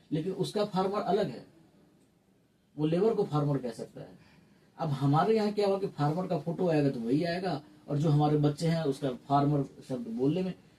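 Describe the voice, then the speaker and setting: He has a fairly high pitch and ordinary pitch variation. The man talks at a moderate pace. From Mithila region, Bihar, India. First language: Maithili (speaking Hindi). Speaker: theatre academic. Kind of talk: interview. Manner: some hesitations, fillers.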